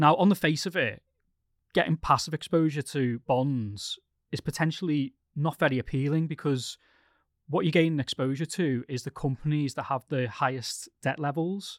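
Recorded dry and close with no echo and a silent background, a man speaks with a British accent in a very clean recording. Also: fairly high pitch for a man, ordinary pitch variation, moderate pace. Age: 30s. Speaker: podcast host, investment journalist. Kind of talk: casual chat, financial podcast discussion.

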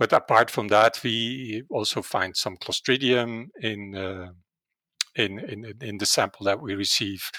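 In a very clean recording with a silent background and a dry, close sound with no echo, a man with a Dutch accent speaks in a bright, sharp tone and fairly even intonation. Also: fairly low pitch for a man, fairly slow pace. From Netherlands. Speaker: veterinary virology professor. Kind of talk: interview. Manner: halting, many filler words.

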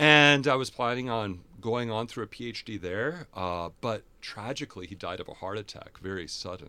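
With an American accent, a man talks at a medium pitch in a bright, sharp tone. His intonation is lively and his pace moderate. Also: hardly any pauses. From US Midwest, Fargo-Moorhead. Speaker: theology professor and priest. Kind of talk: interview conversation.

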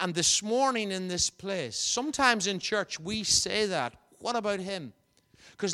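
A man with a Northern Irish accent speaks at a moderate pace in a raised, projected voice, his pitch high for a man. His intonation is lively and his tone bright and sharp, on a very clean recording with a silent background. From Northern Ireland, County Fermanagh. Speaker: visiting preacher. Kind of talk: sermon. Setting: church.

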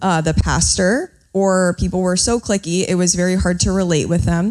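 In a normal speaking voice, a woman talks at a moderate pace with a fairly low pitch and fairly even intonation. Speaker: online ministry streamer. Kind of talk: panel discussion live. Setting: stage with audience.

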